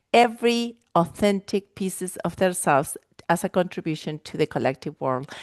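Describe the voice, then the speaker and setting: A woman with an Argentine accent speaks at a moderate pace and medium pitch, with ordinary pitch variation and a dry, close sound with no echo. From Argentina. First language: Spanish. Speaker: life and wellness coach. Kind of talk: podcast interview. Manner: animated.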